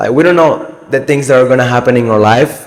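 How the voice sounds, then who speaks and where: A man with a Spanish accent, medium pitch and lively intonation. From Cuba. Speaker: motivational YouTuber. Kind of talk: casual motivational talk to camera. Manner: casual, halting with self-corrections.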